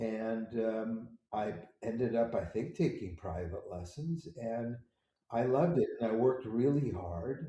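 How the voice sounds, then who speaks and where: A man talks at a fairly slow pace with a medium pitch and lively intonation. His tone is dark, mellow and somewhat breathy. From US Pacific Northwest, Seattle. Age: 70s. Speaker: composer. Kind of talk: interview.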